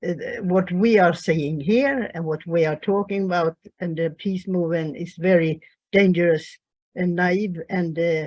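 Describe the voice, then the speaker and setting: The speaker has a Swedish accent. Pitch varies in an ordinary way. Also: woman. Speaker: peace activist. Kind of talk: online panel discussion. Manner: halting.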